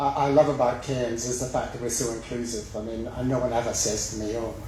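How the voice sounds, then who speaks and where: A man speaks at a medium pitch with fairly even intonation. The room echo is audible, and background noise is noticeable. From west of Scotland. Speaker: mayoral candidate. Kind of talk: campaign speech. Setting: public forum with live audience.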